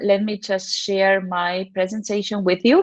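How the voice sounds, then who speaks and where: Fairly slow in pace, a woman with a Spanish accent speaks at medium pitch. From Argentina. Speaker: teacher trainer. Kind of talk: conference presentation.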